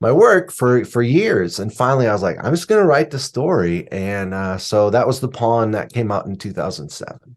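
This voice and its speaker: Hardly pausing, a man speaks at a moderate pace and medium pitch with very wide pitch swings. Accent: American. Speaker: suspense novelist and writing teacher. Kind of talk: podcast interview.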